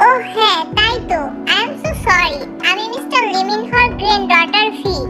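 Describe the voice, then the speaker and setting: Using a put-on character voice at an extremely high pitch, a woman speaks at a fairly quick pace with clear music in the background. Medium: read story.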